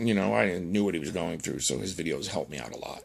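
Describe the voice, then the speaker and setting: A man's very deep, low-pitched voice with vocal fry at a fairly quick pace. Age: 40s. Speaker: former paramedic vlogger. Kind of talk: personal vlog monologue.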